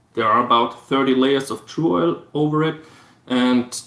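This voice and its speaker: The speech moves at a fairly slow pace with ordinary pitch variation. Noticeable background noise is audible. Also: man. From Austria, Vorarlberg. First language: German. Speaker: guitar builder. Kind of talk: live stream chat.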